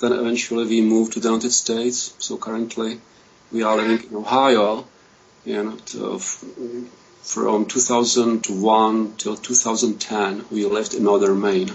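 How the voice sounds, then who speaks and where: Moderate pace and monotone, flat intonation in a Czech accent, with noticeable background noise. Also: man, medium pitch for a man. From Czechoslovakia. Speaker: political scientist. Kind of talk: self-introduction on a panel.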